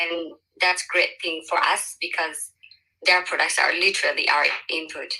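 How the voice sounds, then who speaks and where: A bright, sharp tone in a flat monotone at a moderate pace. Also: woman, fairly low pitch for a woman. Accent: Ethiopian. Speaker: social entrepreneur, panelist. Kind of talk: panel discussion.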